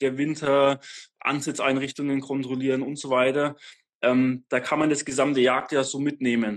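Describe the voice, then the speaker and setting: Against a quiet background, a man speaks at a moderate pace. His fairly high voice stays monotone and flat. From Franconia, Germany (north of Nuremberg). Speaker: hunter. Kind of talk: casual interview. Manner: halting, many fillers.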